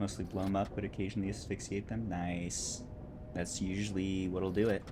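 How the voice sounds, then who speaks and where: Relaxed in tone, a man with a very deep, low pitch talks at a fairly quick pace in a flat monotone, with audible room echo. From California. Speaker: video game streamer. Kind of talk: casual live-stream chat and gameplay commentary.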